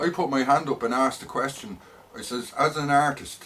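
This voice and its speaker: With a strong Dublin accent, a man speaks at a moderate pace. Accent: heavy north side Dublin. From Ireland, north side Dublin. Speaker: vlogger. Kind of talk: personal rant monologue. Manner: hesitant, many fillers and repetitions.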